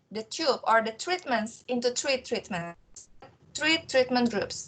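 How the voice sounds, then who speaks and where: Speaking at a very slow pace, a woman uses a high pitch and lively intonation. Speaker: trainee teacher. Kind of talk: lecture.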